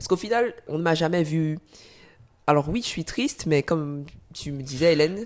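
A woman with a very deep, low voice and ordinary pitch variation speaks with long, frequent pauses. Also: moderate pace. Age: 20s. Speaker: former basketball player with multiple sclerosis. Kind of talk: testimony.

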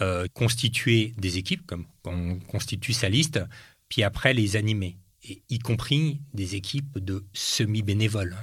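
On a very clean recording with a silent background, a man speaks at a very slow pace. His fairly low voice is somewhat breathy, with ordinary pitch variation. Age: 50s. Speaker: entrepreneur and former politician. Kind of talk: interview.

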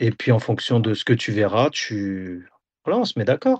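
Speaking at a fairly slow pace, a man delivers his words. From France, Auxerre (Burgundy). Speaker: football video analyst and assistant coach. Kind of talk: interview. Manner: hesitant, many fillers.

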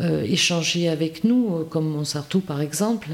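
Fairly low in pitch, a woman speaks very slowly with noticeable background noise. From rural France. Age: 60s. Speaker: village mayor, former school head. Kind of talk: interview. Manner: halting, frequent repetitions.

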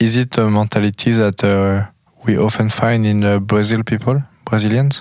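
A man's fairly low voice with a French accent, monotone and flat, at a fairly slow pace. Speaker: podcast host. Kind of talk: interview. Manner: halting.

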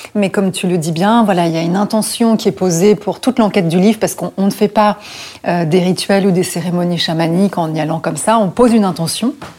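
Ordinary pitch variation at a fairly quick pace, with noticeable background noise. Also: woman. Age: 40s. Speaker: historian and journalist. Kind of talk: casual chat.

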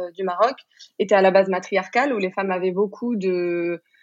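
With a plain, everyday voice, a woman speaks at a medium pitch and with fairly even intonation. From Morocco. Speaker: sex coach. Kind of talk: interview conversation.

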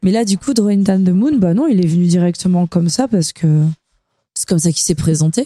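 A woman speaks with lively intonation. Her tone is dark and mellow. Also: medium pitch for a woman, fairly quick pace. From southern France. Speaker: singer and bassist. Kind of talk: interview. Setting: backstage dressing room.

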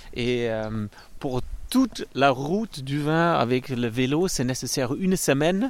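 A man's fairly high voice, very slow in pace, with lively intonation. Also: very clean recording, silent background. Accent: German. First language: German (speaking French). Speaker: winery director. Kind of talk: casual chat. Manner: halting.

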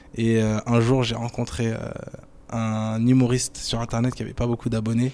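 Delivering his words fairly slowly, the man keeps a monotone, flat intonation. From Paris suburbs (Cergy-Pontoise), France. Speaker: entrepreneur in digital marketing. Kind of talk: interview. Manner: hesitant, many fillers.

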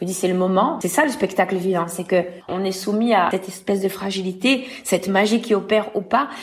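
Noticeable background noise sits behind a fairly quick delivery with ordinary pitch variation. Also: woman. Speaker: singer and actress. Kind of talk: interview.

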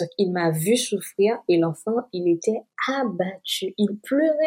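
A woman at medium pitch with ordinary pitch variation, very slow pace, and a dry, close sound with no echo. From Haiti. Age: 30s. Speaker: salesperson sharing illness story. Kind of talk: personal testimony interview.

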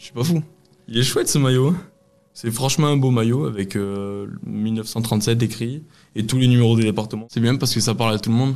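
Over a very clean recording with a silent background, a man with a medium pitch talks at a fairly quick pace with long, frequent pauses, very even loudness and ordinary pitch variation. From Lot, southwest France. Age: 20s. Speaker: football fan. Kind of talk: testimony. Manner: halting, many repetitions and hesitations.

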